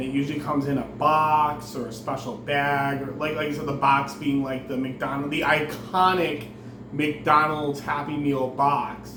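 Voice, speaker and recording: A fairly high-pitched man at a fairly slow pace, with audible room echo and noticeable background noise. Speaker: food reviewer YouTuber. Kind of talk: casual vlog review. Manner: halting.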